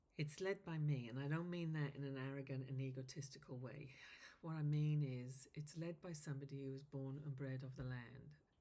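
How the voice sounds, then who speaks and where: A woman with a Welsh accent, very deep and low in pitch, dark and mellow in tone, fairly even in intonation and fairly quick, with audible room echo. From Wales. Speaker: druid and tour guide. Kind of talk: self-interview monologue.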